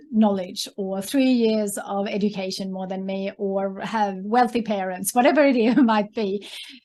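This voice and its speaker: A woman with a Swedish accent speaks at a fairly slow pace in a dark, mellow tone with fairly even intonation. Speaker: entrepreneur and author. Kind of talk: interview. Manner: hesitant, many fillers.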